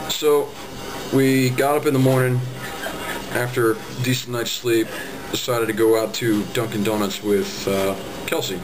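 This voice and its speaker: Noticeable background noise sits behind a man's voice. He speaks at a moderate pace with ordinary pitch variation. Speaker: road trip vlogger. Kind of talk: casual vlog narration. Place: home room. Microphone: webcam.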